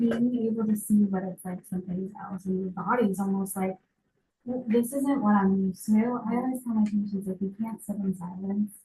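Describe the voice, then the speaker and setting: This woman's voice sits at a medium pitch, dark and mellow in tone and somewhat breathy. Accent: American. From Massachusetts, South Shore near Boston. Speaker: healthcare practitioner. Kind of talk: lecture. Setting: medical office with audience. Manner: fast.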